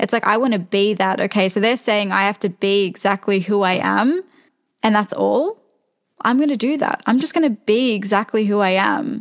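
In a dry, close sound with no echo, a woman with an unremarkable speaking voice talks at a medium pitch and moderate pace, with ordinary pitch variation and very even loudness. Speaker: podcast host. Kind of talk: casual interview chat.

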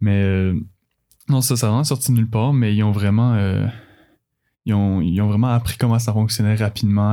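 A man with a Quebec accent speaks in a fairly low, dark and mellow voice with fairly even intonation, on a very clean recording with a silent background. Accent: Québécois French. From Quebec, Laurentides (Blainville). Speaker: university swimmer and physiotherapy student. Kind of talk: casual interview. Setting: studio. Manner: halting, with many repetitions and fillers.

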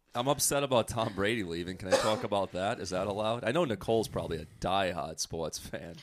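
In a very clean recording with a silent background, a man with a fairly low pitch races along at a very fast pace with lively intonation and hardly any pauses. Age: 30s. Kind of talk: casual chat.

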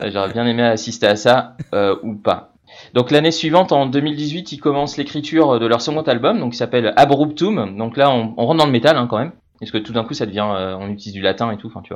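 In a plain, everyday voice, a man speaks at a fairly quick pace and medium pitch, with ordinary pitch variation and big swings in loudness. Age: 40s. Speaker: radio music columnist. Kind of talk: casual radio chronicle. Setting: remote from Madrid.

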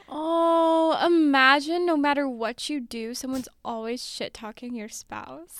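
A woman's high voice at a fairly slow pace, with big swings in loudness and ordinary pitch variation. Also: hardly any pauses. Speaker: podcast guest.

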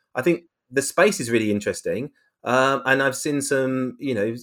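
In a very clean recording with a silent background, a man with a British accent talks at a fairly quick pace and a medium pitch. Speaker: media executive, head of branded content studio. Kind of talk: interview. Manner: hesitant, many fillers and repetitions.

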